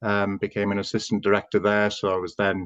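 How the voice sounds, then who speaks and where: With a North Welsh accent, a man speaks at a fairly low pitch. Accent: Welsh English, North Wales. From North Wales. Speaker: housing association chief executive. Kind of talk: interview.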